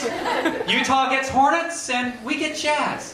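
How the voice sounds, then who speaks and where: Against crowd noise in the background, a man with an American accent uses a raised, projected voice at an extremely high pitch, with an upbeat tone and ordinary pitch variation. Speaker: late-night talk show host doing stand-up monologue. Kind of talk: stand-up comedy monologue to a live audience. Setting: live comedy lounge with audience. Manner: jokey, upbeat, conversational.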